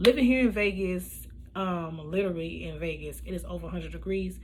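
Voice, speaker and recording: A woman talks at a moderate speed, and audible room echo is present. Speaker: beauty vlogger. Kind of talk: makeup tutorial voiceover. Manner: casual, with many fillers.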